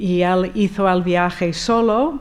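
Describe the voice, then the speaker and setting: Speaking with an American accent, a woman talks in a fairly low voice, with audible room echo around her. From US, Rochester, New York. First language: English (speaking Spanish). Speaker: architect, conference speaker. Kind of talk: conference talk, personal account. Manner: hesitant, with fillers.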